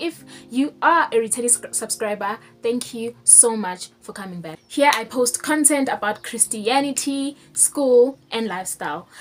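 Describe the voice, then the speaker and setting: Lively, fairly high female voice at a moderate pace, with big swings in loudness and noticeable background noise. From South Africa. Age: 20s. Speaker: law student. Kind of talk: casual talk to camera.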